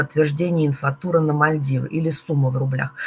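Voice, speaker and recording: Her pitch sits very deep and low. The woman keeps a moderate pace. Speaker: tour operator representative hosting webinar. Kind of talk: webinar presentation talk. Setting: online webinar. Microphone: webcam.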